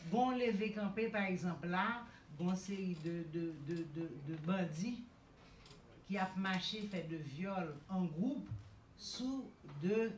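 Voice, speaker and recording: A woman speaks with a Haitian accent. Light background noise and audible room echo are present. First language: Haitian Creole. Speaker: women's rights activist; panelist. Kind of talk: panel speech. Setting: stage with audience. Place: hall.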